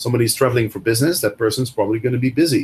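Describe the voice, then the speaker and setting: In a Dutch accent, a man with a somewhat breathy voice talks at medium pitch with ordinary pitch variation. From Netherlands. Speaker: Airbnb host and coach. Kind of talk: interview. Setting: video call.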